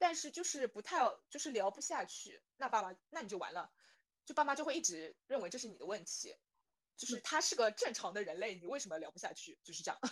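Speaking at a very fast pace, a woman with a high pitch shows very wide pitch swings and big swings in loudness. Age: 20s. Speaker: guest sharing blind-date experiences. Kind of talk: casual chat.

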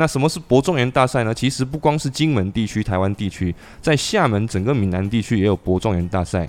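Speaking at a medium pitch, a man moves at a fairly quick pace with hardly any pauses. His intonation is lively. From Xiamen, southern Fujian. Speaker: podcast host. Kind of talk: casual chat. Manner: animated.

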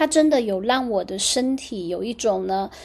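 A woman talks at a fairly slow pace with a fairly high pitch and ordinary pitch variation. Noticeable background noise sits under her voice. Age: 40s. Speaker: astrologer and podcast host. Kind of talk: casual solo podcast monologue.

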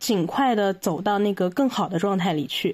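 At a moderate pace, the lively intonation comes through on a very clean recording with a silent background. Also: woman. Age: 20s. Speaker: podcast guest sharing mental health experience. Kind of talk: personal testimony in interview. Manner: halting, many fillers.

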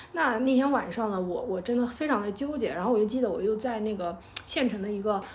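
A woman with a fairly high voice speaks at a very fast clip, her pitch rising and falling in an ordinary way. Room echo is audible, and there is noticeable noise in the background. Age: 30s. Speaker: podcast host. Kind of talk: personal storytelling monologue. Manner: hesitant, many filler sounds.

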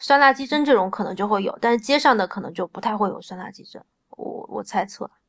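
A woman talks very fast with lively intonation and big swings in loudness. Her pitch is fairly high. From Changsha, Hunan, China. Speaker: food blogger and home cook. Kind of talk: casual chat.

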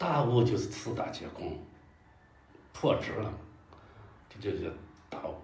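Audible room echo and noticeable background noise surround a man who speaks at a fairly slow pace, with long, frequent pauses and big swings in loudness. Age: 60s. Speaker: local historian and scholar. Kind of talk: casual interview chat. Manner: halting, many fillers.

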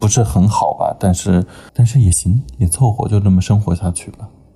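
A man's fairly low, somewhat breathy voice at a moderate pace, with ordinary pitch variation. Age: 20s. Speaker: podcast guest. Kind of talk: casual chat.

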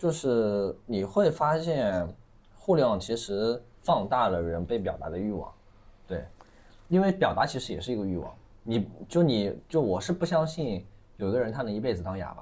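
A man at a medium pitch with very wide pitch swings and a moderate pace. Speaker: livestream commerce operator. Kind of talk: casual chat.

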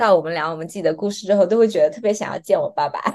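A woman speaks with a southern Chinese accent. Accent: southern Chinese Mandarin. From Fuzhou, Fujian, China. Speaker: PhD student, former international organization worker. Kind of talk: casual interview.

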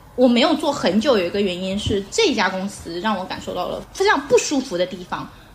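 Through noticeable background noise, a woman speaks at a fairly quick pace with very wide pitch swings. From Xiamen, southern Fujian (Minnan). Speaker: former adult products industry worker. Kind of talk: casual chat.

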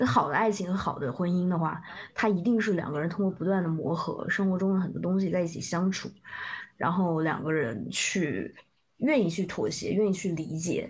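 A woman's fairly low, somewhat breathy voice with ordinary pitch variation at a moderate pace, in audible room echo. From southern China. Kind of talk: casual chat. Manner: halting.

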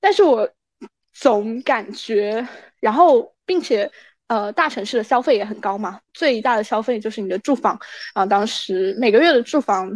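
A woman speaks at a moderate pace and a fairly high pitch, with ordinary pitch variation. The sound is dry and close with no echo, against a quiet background. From China, Anhui. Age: 20s. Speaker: student abroad. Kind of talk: casual interview. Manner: halting, many fillers.

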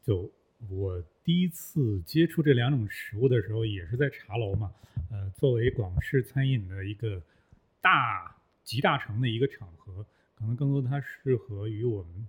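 Somewhat breathy speech at a fairly slow pace, with lively intonation. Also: man, medium pitch for a man. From Northeast China. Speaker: former journalist, voice worker. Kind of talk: casual chat. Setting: studio.

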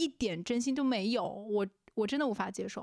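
Using an ordinary speaking voice, a woman talks at a fairly high pitch with ordinary pitch variation. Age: 20s. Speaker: podcast co-host. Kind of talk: casual chat.

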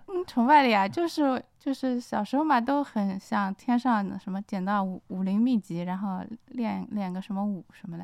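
This is an unremarkable speaking voice with lively intonation. It moves at a moderate pace with hardly any pauses. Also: woman, medium pitch for a woman. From Shanghai. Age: 40s. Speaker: novelist. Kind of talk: casual chat. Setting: studio.

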